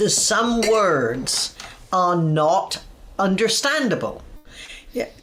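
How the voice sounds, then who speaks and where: Against noticeable background noise, a woman at a medium pitch talks very slowly with long, frequent pauses and very wide pitch swings. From southern England, Dorset. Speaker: speech coach. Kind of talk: interview.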